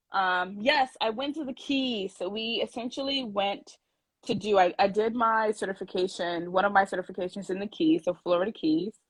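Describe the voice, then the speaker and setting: A woman speaks with a New York accent. Her voice is somewhat breathy. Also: medium pitch for a woman, ordinary pitch variation, moderate pace. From New York City, Brooklyn. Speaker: scuba diver, brand ambassador. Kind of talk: casual chat. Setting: video call.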